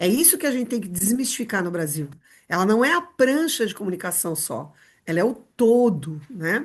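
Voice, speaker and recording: A woman speaks at a moderate pace with a fairly high, somewhat breathy voice and very wide pitch swings. The background is quiet. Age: 60s. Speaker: rehabilitation and inclusion specialist. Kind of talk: podcast interview.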